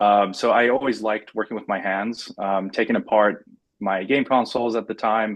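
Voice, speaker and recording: With a Persian accent, a man speaks at a moderate pace. His pitch is medium and his intonation fairly even. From Iran. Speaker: engineer and startup founder. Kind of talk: interview. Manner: many fillers, halting.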